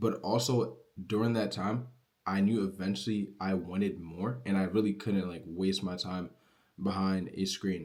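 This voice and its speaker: A man's normal speaking voice, fairly low in pitch, with fairly even intonation and a fairly slow pace. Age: young. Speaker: online business creator. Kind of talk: casual motivational vlog. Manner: casual, filler-heavy.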